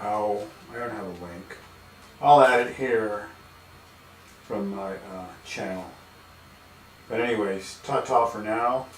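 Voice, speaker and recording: A man with an American accent at fairly low pitch, very slow pace with long, frequent pauses, lively intonation and big swings in loudness, amid audible room echo and noticeable background noise. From Texas, El Paso. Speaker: painter streaming live. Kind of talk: casual live-stream monologue. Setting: home studio, live stream.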